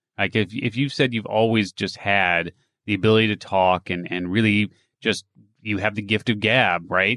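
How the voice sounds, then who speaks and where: A man with an unremarkable speaking voice talks at a moderate pace and a fairly low pitch, with ordinary pitch variation. The background is quiet. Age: 50s. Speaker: entrepreneur and reinvention coach. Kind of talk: interview.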